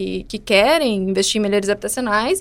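A woman speaks at a fairly high pitch. She has a southern Brazilian accent. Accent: Rio Grande do Sul (gaúcho) Portuguese. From Porto Alegre, southern Brazil. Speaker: architect and urban planner. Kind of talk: casual interview chat.

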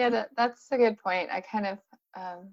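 With a Californian accent, the speaker talks at a moderate pace. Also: woman. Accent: Californian American. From US, San Diego. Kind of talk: casual chat. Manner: mellow.

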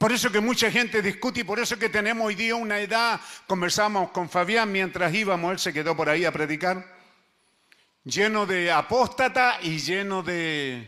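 A bright, sharp voice is raised and projected at a moderate pace, with ordinary pitch variation. The recording is very clean, the background silent. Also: man. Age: 70s. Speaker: pastor. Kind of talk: sermon. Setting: church.

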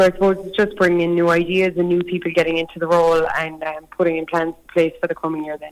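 Very fast speech in a Cork accent with hardly any pauses. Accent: Cork Irish. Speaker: youth rural organisation chairperson. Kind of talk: phone interview. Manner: fluent, measured, with filler 'um'.

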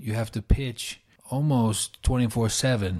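A man with a New York accent talks at a fairly slow pace. His medium-pitched voice is dark, mellow and somewhat breathy, with ordinary pitch variation. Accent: New York American. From New York, US. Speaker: startup founder and consultant. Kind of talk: interview.

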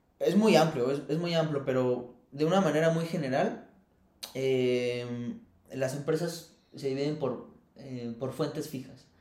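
Fairly slow speech with ordinary pitch variation and audible room echo. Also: man, fairly high pitch for a man. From Mexico, Querétaro. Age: 30s. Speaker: environmental consultant. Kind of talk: casual interview chat.

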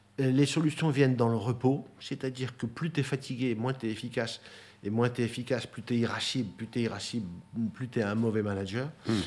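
A normal speaking voice from a man, medium in pitch, at a fairly quick pace with fairly even intonation. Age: 60s. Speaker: property development executive. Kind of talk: interview testimony.

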